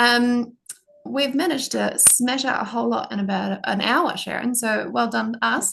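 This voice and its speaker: A woman speaks with a New Zealand accent and very even loudness. Light background noise is present. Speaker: product demonstrator. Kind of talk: product demo. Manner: fast. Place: home room. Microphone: video call.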